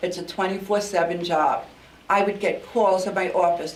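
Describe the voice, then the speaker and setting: A woman with a New York accent speaks at a fairly slow pace. The recording has audible room echo and noticeable background noise. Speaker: outgoing mayor. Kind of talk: farewell speech at council meeting. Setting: council meeting chamber. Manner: halting with fillers.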